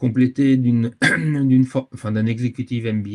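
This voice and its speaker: A man with fairly even intonation. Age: 60s. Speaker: sustainability consultant, firm founder. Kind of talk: webinar interview. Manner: hesitant, many fillers.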